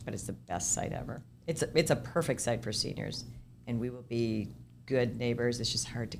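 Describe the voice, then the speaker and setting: A woman talks at a fairly quick pace in a very deep, low pitch with vocal fry. Her pitch variation is ordinary. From Minnesota, US. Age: 60s. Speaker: senior housing developer. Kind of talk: podcast interview. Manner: conversational, with false starts and repetitions.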